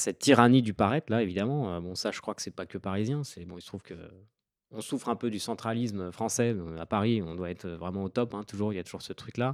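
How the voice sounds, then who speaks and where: In a very clean recording with a silent background and a dry, close sound with no echo, a man with a fairly low pitch talks at a very fast pace, showing ordinary pitch variation and big swings in loudness. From France, Île-de-France (Seine-et-Marne). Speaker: author and Instagram creator. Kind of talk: podcast interview.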